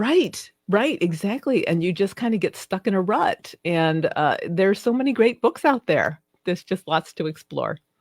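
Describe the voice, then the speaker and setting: A woman with an American accent speaks in an animated tone with very wide pitch swings at a moderate pace. The sound is dry and close, with no echo. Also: medium pitch for a woman. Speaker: romance novelist. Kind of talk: interview. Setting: live video stream.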